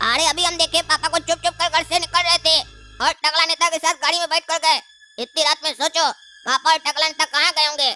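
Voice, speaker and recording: Speech comes very fast in a cartoonish character voice. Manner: insistent, scolding.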